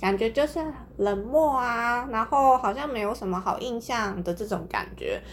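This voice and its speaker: She has an ordinary speaking voice with a fairly high pitch. Her pitch variation is ordinary. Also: moderate pace. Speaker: podcast host. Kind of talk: casual chat.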